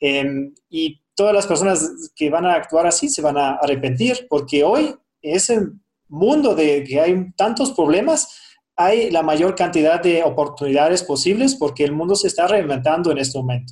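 A man with a German accent speaks at a moderate pace in a high pitch, his intonation lively. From Germany. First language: German (speaking Spanish). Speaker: businessman, crypto investor. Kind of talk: interview. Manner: hesitant, many fillers.

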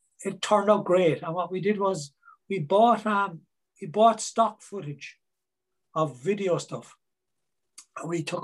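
A man speaks with a Cork accent. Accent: Cork Irish. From Ireland, Cork. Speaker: singer songwriter. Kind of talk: interview.

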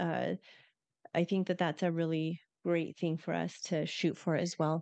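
Over a quiet background, a woman speaks in a monotone at a fairly slow pace, leaving long, frequent pauses, in a dry, close sound with no echo. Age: 50s. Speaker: podcast co-host. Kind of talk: casual chat.

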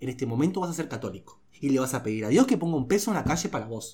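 A man speaks in a somewhat breathy voice with very wide pitch swings. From Uruguay, Rivera (north, Brazil border). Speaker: comedy podcast host. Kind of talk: casual chat.

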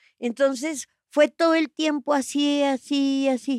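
A woman's high-pitched voice, very slow, with a dark, mellow tone and a dry, close sound with no echo. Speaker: actress. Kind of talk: casual chat.

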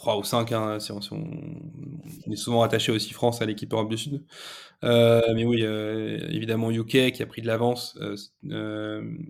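Keeping a fairly slow pace, a man speaks at medium pitch with fairly even intonation. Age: 30s. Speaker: e-commerce partnerships manager. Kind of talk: casual interview. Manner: halting, repeats words.

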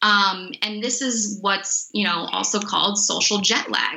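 Fairly high in pitch, a woman talks in an unremarkable speaking voice. She moves at a fairly slow pace with fairly even intonation. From Miami, Florida. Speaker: sports nutritionist. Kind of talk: interview.

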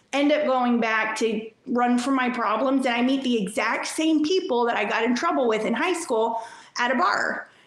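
A woman with an American accent and high pitch speaks at a moderate pace with ordinary pitch variation amid noticeable background noise. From New York. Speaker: addict in recovery, Facebook page creator. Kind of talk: personal story interview.

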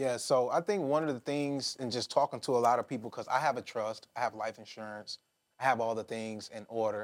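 A man speaks fairly quickly at a medium pitch in a plain, everyday voice. The recording is very clean, with a silent background. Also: ordinary pitch variation. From Detroit, US Midwest. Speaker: podcast host. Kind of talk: interview.

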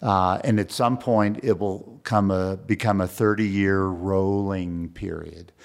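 Talking with an American accent in an ordinary speaking voice, a man keeps a fairly low pitch and fairly even intonation, moving at a fairly slow pace with hardly any pauses on a very clean recording with a silent background. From Texas, San Antonio. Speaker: museum foundation executive. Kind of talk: interview.

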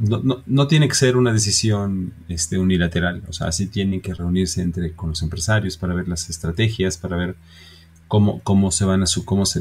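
This man's voice is very deep and low, and somewhat breathy. He speaks at a moderate pace with ordinary pitch variation. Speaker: podcast co-host, business owner. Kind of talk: casual chat.

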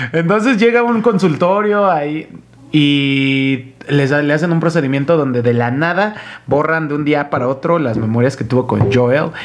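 A man with a Mexican accent, fairly high in pitch, lively in intonation, at a moderate pace, over noticeable background noise. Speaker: podcast host. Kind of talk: casual chat.

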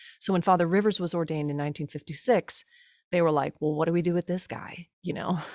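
A woman speaks at a very fast pace and a fairly low pitch with fairly even intonation, in a dry, close sound with no echo on a very clean recording with a silent background. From US Midwest, Cincinnati area. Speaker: liturgist and musician, podcast co-host. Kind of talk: casual interview.

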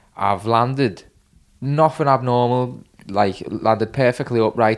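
A Liverpool accent with ordinary pitch variation, on a very clean recording with a silent background. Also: man. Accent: Liverpool Scouse. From Liverpool, England. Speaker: injured BMX or skate rider. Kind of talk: casual chat. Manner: rambling, storyteller.

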